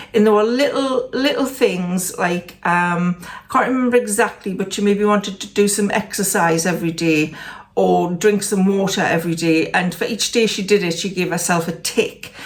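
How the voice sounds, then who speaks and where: At a moderate pace and with hardly any pauses, a woman with a Geordie accent speaks at a medium pitch. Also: ordinary pitch variation. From northern England, Newcastle area. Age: 60s. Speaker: lifestyle vlogger. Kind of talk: casual vlog update. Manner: hesitant, with fillers.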